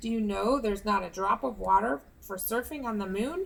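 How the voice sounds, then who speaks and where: A woman speaks at a fairly quick pace in a put-on character voice, her pitch medium. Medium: read story. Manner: coaxing, patient.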